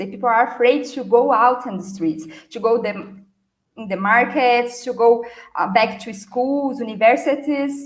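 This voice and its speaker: With a Brazilian accent, a woman speaks at a high pitch and a moderate pace, her loudness swinging widely amid audible room echo. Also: ordinary pitch variation. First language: Portuguese. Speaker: marketing and customer experience speaker. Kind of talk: conference talk. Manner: hesitant with fillers.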